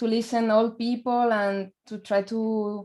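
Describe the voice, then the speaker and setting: A woman's fairly high-pitched voice, monotone and flat, at a fairly slow pace. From Spain. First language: Spanish. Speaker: folk percussionist and singer. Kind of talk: interview. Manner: halting.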